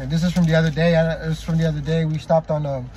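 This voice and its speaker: A man speaks at a very fast pace with a fairly high pitch. The sound is dry with no echo, over light background noise. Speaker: prayer leader / religious vlogger. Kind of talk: prayer and scripture reading. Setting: video, talking to camera to viewers. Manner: halting, with many restarts and repetitions. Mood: upbeat, devotional. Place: car. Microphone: phone near.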